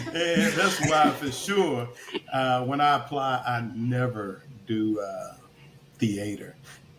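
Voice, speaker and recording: Speaking very slowly with a Kentucky accent, a man uses a medium pitch and lively intonation, with audible room echo and noticeable background noise. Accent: Kentucky Southern US. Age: 60s. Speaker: retired army officer turned actor. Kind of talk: casual chat.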